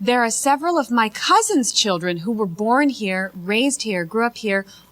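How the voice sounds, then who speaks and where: Through noticeable background noise, a woman with an American accent speaks at a fairly high pitch with lively intonation. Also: moderate pace. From United States. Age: 30s. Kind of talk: talk show discussion.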